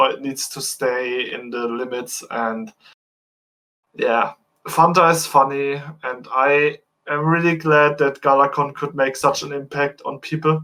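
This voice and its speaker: Moving at a fairly slow pace, a man with a fairly high pitch speaks with fairly even intonation and big swings in loudness. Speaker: convention organizer. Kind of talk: interview.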